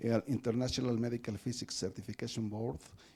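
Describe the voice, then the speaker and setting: A man is speaking at a medium pitch. His tone is dark and mellow. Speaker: professor hosting a weekly seminar. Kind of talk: speaker introduction, reading a bio aloud. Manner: fast reading.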